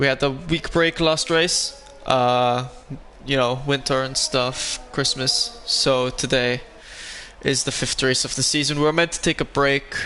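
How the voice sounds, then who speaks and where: With music in the background, a man with a non-native accent speaks at a fairly slow pace. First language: not English. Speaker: sim racing league commentator. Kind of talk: live commentary. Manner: casual, hesitant.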